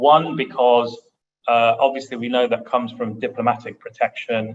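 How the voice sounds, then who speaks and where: A man is speaking. He has a British accent. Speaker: international arbitration lawyer, panelist. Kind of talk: panel discussion. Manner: halting, many repetitions.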